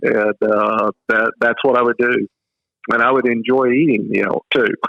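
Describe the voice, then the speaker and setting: A man with a Texas accent speaks at a moderate pace with very even loudness. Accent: Southern US (Texas). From West Texas. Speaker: author and hunter. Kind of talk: casual interview chat.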